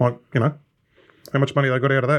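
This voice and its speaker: The speaker is a man with an Australian accent. Only a quiet background sits behind him. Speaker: racing podcast co-host.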